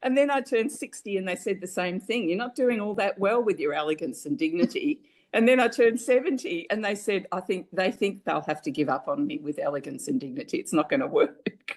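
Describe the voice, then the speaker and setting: A woman with an Australian accent, fairly high-pitched with vocal fry and very wide pitch swings, fairly quick with hardly any pauses. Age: 70s. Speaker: family caregiver. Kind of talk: interview testimony.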